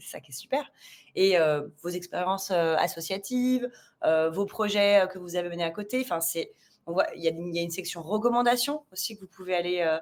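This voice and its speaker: A woman at a fairly quick pace, medium in pitch with ordinary pitch variation and big swings in loudness. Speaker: recruiter. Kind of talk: live discussion. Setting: live video stream. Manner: fast.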